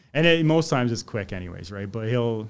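A man's ordinary speaking voice at medium pitch, fairly quick, with ordinary pitch variation, on a very clean recording with a silent background. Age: 40s. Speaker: electrician and tool reviewer. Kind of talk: casual chat.

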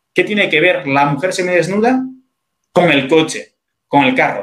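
This man has a high-pitched voice. His pitch swings very widely. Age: 30s. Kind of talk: interview on faith and morality.

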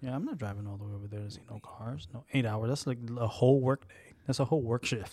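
A man's very fast delivery with hardly any pauses, medium pitch, ordinary pitch variation, big swings in loudness and a dark, mellow, somewhat breathy tone on a very clean recording with a silent background. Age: 30s. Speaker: podcast co-host. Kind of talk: casual chat.

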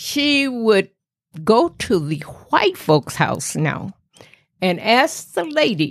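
With an American accent, a woman at a medium pitch swings very widely up and down in pitch. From US South, rural Tennessee. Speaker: grandmother telling her life story. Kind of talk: storytelling interview.

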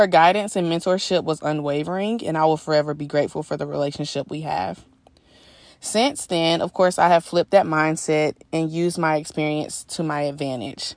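Against a quiet background, a woman with a very deep, low voice speaks fairly quickly with ordinary pitch variation. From US South, Georgia. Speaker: software sales professional and aspiring PA. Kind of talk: personal testimony.

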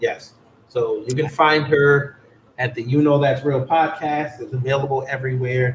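At a moderate pace, a man with an American accent talks in a fairly high pitch with monotone, flat intonation. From New York. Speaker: podcast host. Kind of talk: casual political debate. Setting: live stream on camera.

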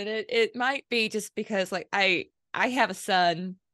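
A woman speaks in a normal speaking voice. The sound is dry and close with no echo, over a quiet background. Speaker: podcast host. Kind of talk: casual interview chat.

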